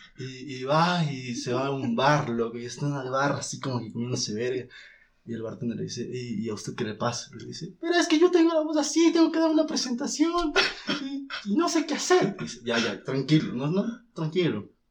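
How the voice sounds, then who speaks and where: Male speech, fairly quick, loudness swinging widely. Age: 20s. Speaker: film student. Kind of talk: casual chat.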